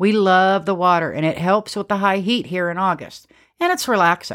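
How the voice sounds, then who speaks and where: An ordinary speaking voice from a woman, medium in pitch and moderate in pace, on a very clean recording with a silent background. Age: 50s. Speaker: homesteading podcast host. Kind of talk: scripted podcast monologue.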